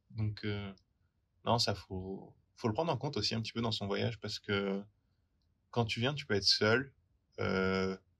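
A man's fairly low voice at a fairly slow pace, with ordinary pitch variation and long, frequent pauses. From France, rural area near Poitiers. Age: 20s. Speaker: working holiday traveller. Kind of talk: interview testimony.

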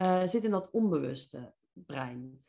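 This is a woman speaking. Her pitch is medium. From Netherlands, North Brabant (Veldhoven). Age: 40s. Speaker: business mindset coach. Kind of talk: podcast interview. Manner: energetic; direct.

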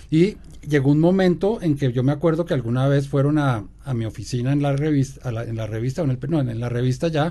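The voice is dark and mellow, moving at a fairly quick pace with ordinary pitch variation. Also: man. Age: 60s. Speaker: podcast co-host and magazine journalist. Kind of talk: casual chat.

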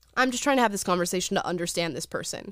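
Animated in tone, a woman with a Californian accent speaks with lively intonation. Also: very clean recording, silent background. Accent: General American (California). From US. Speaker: YouTube show host. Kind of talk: casual chat.

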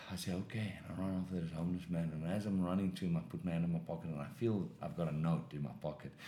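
A man speaks at a very fast pace with hardly any pauses, his pitch very deep and low and his tone dark and mellow. His pitch varies in an ordinary way, and audible room echo surrounds him. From South Africa. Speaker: professional boxer. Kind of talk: testimony.

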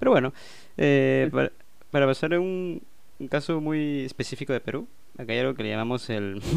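The speaker talks at a fairly quick pace with ordinary pitch variation, broken by long, frequent pauses. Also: man, medium pitch for a man. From Peru. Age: 20s. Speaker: podcast host, self-taught game designer. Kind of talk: casual chat.

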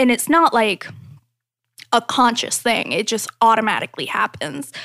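A woman's fairly high voice at a fairly slow pace, dry and close with no echo. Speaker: podcast host. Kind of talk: casual chat.

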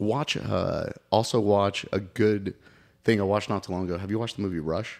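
On a very clean recording with a silent background, a man with an American accent speaks at a fairly quick pace in a plain, everyday voice, fairly low in pitch with fairly even intonation. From Oklahoma City, US. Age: 30s. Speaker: soccer goalkeeping coach. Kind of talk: casual chat.

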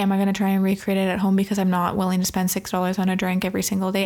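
A woman speaks at a medium pitch. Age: 20s. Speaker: podcast host. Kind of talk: casual chat. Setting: home recording under a blanket.

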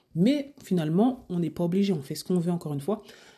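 Somewhat breathy and dark, mellow in tone, this woman talks at a fairly quick pace with a fairly low pitch and lively intonation. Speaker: personal stylist and podcast host. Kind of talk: solo podcast monologue. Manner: casual, hesitant with fillers.

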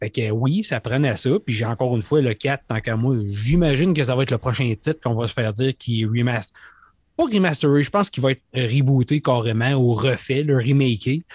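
A man's somewhat breathy, medium-pitched voice with a Quebec accent, ordinary pitch variation and a moderate pace, dry and close with no echo against a quiet background. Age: 50s. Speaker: gaming podcast host. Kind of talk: casual chat.

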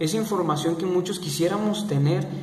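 Speech at a moderate pace, with audible room echo and noticeable background noise. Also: man. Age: 20s. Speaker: podcaster. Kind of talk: solo monologue podcast. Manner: halting, with fillers.

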